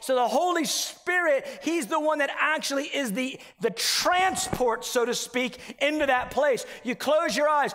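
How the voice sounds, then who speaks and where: A man speaks with an extremely high pitch and lively intonation. His pace is fairly slow. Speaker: preacher. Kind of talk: sermon. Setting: church. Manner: animated; earnest, conversational preaching. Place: church. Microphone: headset.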